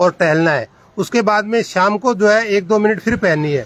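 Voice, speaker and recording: With a high pitch, a man speaks at a moderate pace. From Rajasthan, India (Nohar area). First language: Rajasthani (speaking Hindi). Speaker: video blogger. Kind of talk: casual explainer vlog in a shop. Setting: in a shoe shop.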